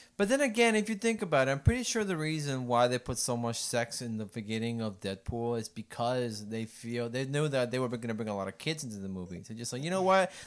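In a Puerto Rican accent, a man talks at a very fast pace with hardly any pauses, a medium pitch and lively intonation. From Puerto Rico. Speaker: podcast co-host. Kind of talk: casual chat.

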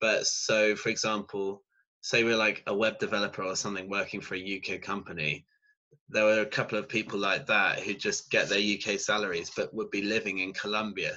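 This is a man with a southern English accent. He talks at a moderate pace. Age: 20s. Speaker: student. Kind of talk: casual interview.

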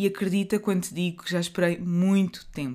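A woman speaks with fairly even intonation and a European Portuguese accent on a very clean recording with a silent background. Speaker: podcast host and author. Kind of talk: reflective monologue.

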